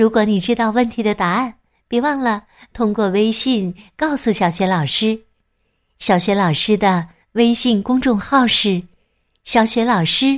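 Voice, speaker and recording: A woman speaks very slowly in a warm, gentle tone at a fairly high pitch, on a very clean recording with a silent background. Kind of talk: fairy-tale narration for young children, with character dialogue.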